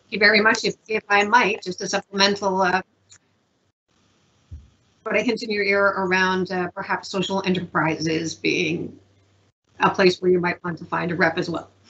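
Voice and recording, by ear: A woman speaks at a medium pitch and a moderate pace, her tone fairly bright with a slightly husky edge. Her pitch moves little, and she leaves long, frequent pauses.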